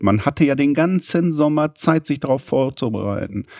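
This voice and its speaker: Dry and close with no echo, a man's unremarkable speaking voice has a fairly high pitch, lively intonation and a moderate pace. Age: 50s. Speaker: podcast host, business development director. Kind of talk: interview.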